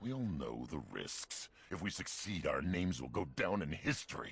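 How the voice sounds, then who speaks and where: A man puts on a character voice with a very deep, low pitch. He talks at a moderate pace. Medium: video game. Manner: gruff, folksy.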